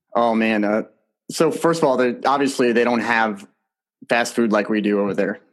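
This man has an ordinary speaking voice, medium in pitch, with an American accent. His pitch varies in an ordinary way and his loudness stays very even. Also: moderate pace. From New Jersey. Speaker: retired soldier and podcast host. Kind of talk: interview.

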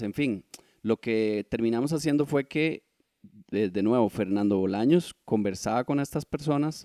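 A man with a medium pitch and a dark, mellow tone speaks with ordinary pitch variation, the sound dry and close with no echo. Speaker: photographer and author. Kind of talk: interview conversation.

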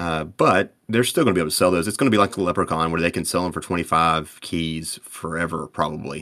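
Very deep, low male voice at a very fast pace with hardly any pauses and fairly even intonation, in a very clean recording with a silent background. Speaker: game community moderator. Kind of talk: casual chat. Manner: fast talker.

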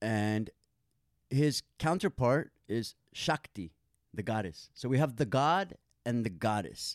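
A normal speaking voice from a man, medium in pitch with lively intonation, at a fairly slow pace, in a very clean, dry and close recording with a silent background and no echo. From Santa Monica, California. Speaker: yoga and meditation teacher. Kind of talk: casual interview.

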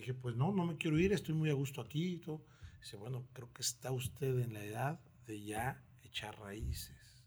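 Somewhat breathy and medium in pitch, a man talks at a moderate pace with lively intonation and big swings in loudness. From Mexico, Oaxaca and Mexico City. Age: 40s. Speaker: restaurant maître d'. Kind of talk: casual interview. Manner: animated storytelling.

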